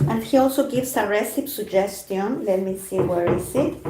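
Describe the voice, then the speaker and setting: Speaking with a Spanish accent, a woman uses lively intonation at a medium pitch. Noticeable background noise and audible room echo fill the recording. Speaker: food journalist. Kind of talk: live stream book discussion. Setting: YouTube live stream, alone. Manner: halting.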